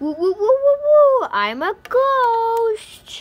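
A woman's put-on character voice, extremely high in pitch and at a very slow pace. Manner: spooky, playful, wailing.

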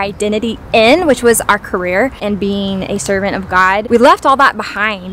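Music plays in the background as a woman speaks at a moderate pace with ordinary pitch variation, in a dry sound with no echo. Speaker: vlogger. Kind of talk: personal story vlog. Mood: reflective, earnest. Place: forest. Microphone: phone near.

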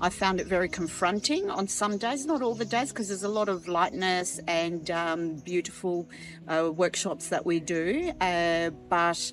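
A woman speaks at a moderate pace in a fairly low pitch with ordinary pitch variation. The sound is dry with no echo, and faint music plays in the background. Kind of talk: interview answer. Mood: reflective, sincere. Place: garden. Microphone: lapel.

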